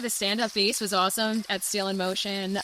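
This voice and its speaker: Clearly audible background noise behind a woman speaking at a medium tempo. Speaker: car channel vlogger. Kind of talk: casual chat. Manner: loud; animated.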